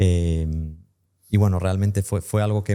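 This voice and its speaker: In a very clean recording with a silent background, a man with a very deep, low pitch and a dark, mellow tone speaks at a moderate pace. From US (Tampa, Florida), raised bilingual. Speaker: English teacher and entrepreneur. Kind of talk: podcast interview.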